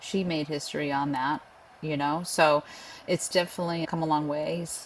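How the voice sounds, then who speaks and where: Using a Boston accent, a woman talks at a moderate pace with a fairly low pitch. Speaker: pest control association leader. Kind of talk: interview. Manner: casual, many fillers.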